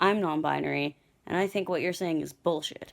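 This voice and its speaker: An unremarkable speaking voice with a Canadian accent. The recording is very clean, with a silent background. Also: woman. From Canada. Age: 20s. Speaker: video contributor. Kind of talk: personal affirmation message.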